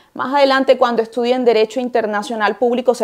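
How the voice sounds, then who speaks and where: Talking at a very fast pace, a woman speaks with a Colombian Caribbean accent. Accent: Colombian Caribbean coastal Spanish. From Colombian Caribbean coast, Barranquilla. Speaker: university lecturer in international law. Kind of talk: lecture.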